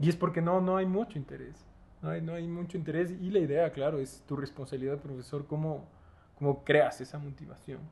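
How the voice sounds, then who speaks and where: Talking at a fairly quick pace, a man has a fairly high pitch and a somewhat breathy voice. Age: 20s. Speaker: architect and university lecturer. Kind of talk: casual interview chat. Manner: animated.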